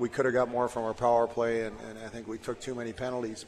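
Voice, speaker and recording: The speech is fairly quick and flat in a monotone, with noticeable background noise behind it. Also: man. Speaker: hockey coach. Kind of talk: post-period interview.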